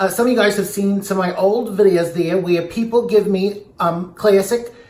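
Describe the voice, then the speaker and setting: A high-pitched man over noticeable background noise. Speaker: drag queen; comedian. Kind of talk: casual talk to camera. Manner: rambling, joking.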